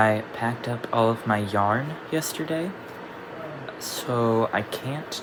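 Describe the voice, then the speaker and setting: Audible room echo and noticeable background noise surround a man whose pitch varies in an ordinary way. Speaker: crochet vlogger. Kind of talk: casual vlog. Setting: at home at night.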